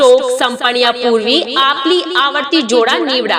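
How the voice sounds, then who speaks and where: A woman's high, raised and projected voice, energetic in tone, with ordinary pitch variation amid noticeable background noise. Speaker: voice-over artist. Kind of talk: shop sale promotional announcement. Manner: energetic, inviting.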